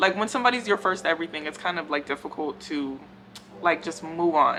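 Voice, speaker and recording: A woman's fairly low voice with lively intonation at a fairly quick pace, over noticeable background noise. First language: not English. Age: 20s. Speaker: hair care YouTuber. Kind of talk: casual Q&A vlog. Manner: conversational with many fillers.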